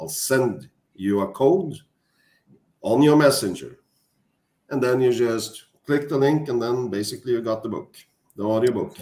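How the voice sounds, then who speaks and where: With a Norwegian accent, a man talks at a moderate pace and a medium pitch, his tone dark and mellow, his pitch variation ordinary, and his speech marked by long, frequent pauses. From Norway. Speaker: author. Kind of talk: casual chat. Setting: livestream. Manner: halting.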